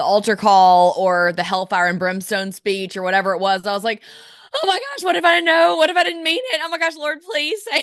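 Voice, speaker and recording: A woman with an Alabama accent speaks at a medium pitch and a fairly quick pace, her pitch swinging very widely. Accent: Southern US (Alabama). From US South, Birmingham, Alabama. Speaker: lifestyle blogger. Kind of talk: podcast interview.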